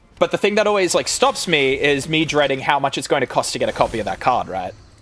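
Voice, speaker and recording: A man with an Australian accent talks very fast in a fairly high voice with vocal fry and very wide pitch swings. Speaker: gaming streamer. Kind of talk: casual live stream chat. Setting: live stream. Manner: casual, filler-heavy.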